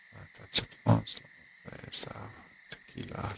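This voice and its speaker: A man speaks quietly. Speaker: gaming video creator. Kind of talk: let's play commentary.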